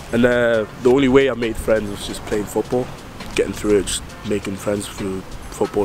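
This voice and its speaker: This man talks at a moderate pace in a medium pitch. Noticeable background noise runs under his voice. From Netherlands (Amsterdam), then northeast England from childhood. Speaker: documentary presenter. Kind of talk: casual on-location interview.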